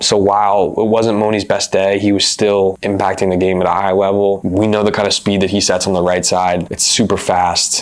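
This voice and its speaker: A man speaks at a moderate pace in a monotone with flat intonation, over noticeable background noise. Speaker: volleyball analyst. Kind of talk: sports analysis talk to camera.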